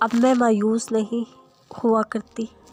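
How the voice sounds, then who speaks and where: A woman talks with a fairly high pitch. The sound is dry and close with no echo, and music plays in the background. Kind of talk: Islamic motivational quotes narration.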